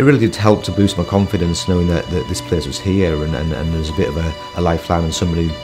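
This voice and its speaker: The pace is very fast, with ordinary pitch variation. Clear music sounds in the background. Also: man, very deep, low pitch for a man. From Hull. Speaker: entrepreneur. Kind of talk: interview answer. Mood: warm, reflective. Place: meeting room.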